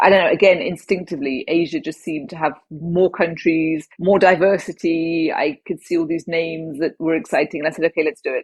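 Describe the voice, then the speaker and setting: A woman in a southern English accent talks at a very fast pace with a fairly low pitch. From southwest England. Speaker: former advertising executive and traveller. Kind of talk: interview storytelling.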